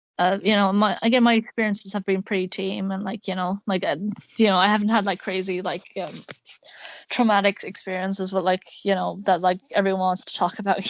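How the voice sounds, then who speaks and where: A fairly quick, monotone, flat delivery from a woman at a medium pitch with an Irish accent. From Ireland. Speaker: podcast host. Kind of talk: casual chat. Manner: halting.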